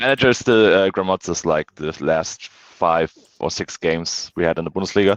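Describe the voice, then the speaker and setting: A man's very deep, low voice in a German accent, with ordinary pitch variation, a dry, close sound with no echo, and a quiet background. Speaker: football fan guest. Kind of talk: casual chat. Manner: halting, many fillers.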